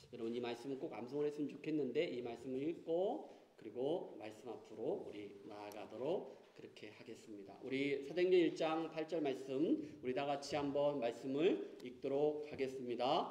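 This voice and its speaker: A man with a fairly high pitch and a dark, mellow tone speaks at a moderate pace with hardly any pauses. His pitch variation is ordinary, and his loudness swings widely. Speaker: pastor. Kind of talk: church announcements; sermon. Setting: church. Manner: halting, many fillers.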